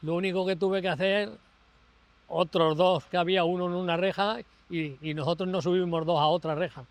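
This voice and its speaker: This man talks with a high pitch. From Spain, Albacete province (Castilla-La Mancha). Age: 80s+. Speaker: flood survivor, retiree. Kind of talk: interview testimony. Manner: halting.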